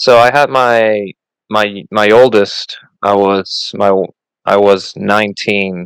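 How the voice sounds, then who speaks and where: A man at a very slow pace, fairly low in pitch, in a Puerto Rican accent. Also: fairly even intonation. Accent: mild Puerto Rican Spanish-accented English. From Puerto Rico. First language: Spanish. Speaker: Coast Guard member and podcaster. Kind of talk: casual interview. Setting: video call. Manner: halting, repeats words.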